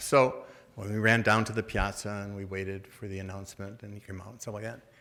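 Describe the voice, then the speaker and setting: A man talks at a very fast pace. His voice carries audible room echo. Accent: American. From US Midwest, Detroit. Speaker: Jesuit priest, order treasurer. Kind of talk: talk with audience Q&A. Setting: luncheon event, stage with audience. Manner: casual, halting with repetitions.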